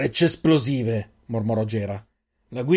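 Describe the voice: Against a quiet backdrop, someone reads aloud plainly.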